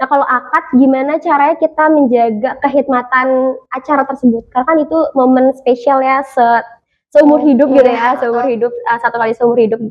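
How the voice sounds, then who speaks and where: This woman's voice is high-pitched, and her intonation is fairly even. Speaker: MC and voice over talent. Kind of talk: podcast interview answer. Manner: casual, relaxed.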